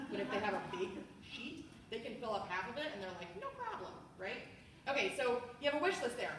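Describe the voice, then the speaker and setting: Amid noticeable background noise and audible room echo, a woman with an American accent speaks fairly quickly at a high pitch with lively intonation. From US, Washington DC area. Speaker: sales trainer. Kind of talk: training demo of a sales party. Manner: fast; animated.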